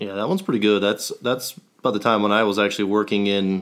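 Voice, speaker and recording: On a very clean recording with a silent background, a man with an unremarkable speaking voice talks at a fairly quick pace. His pitch is fairly low, with ordinary variation. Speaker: podcast co-host. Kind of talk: casual interview chat.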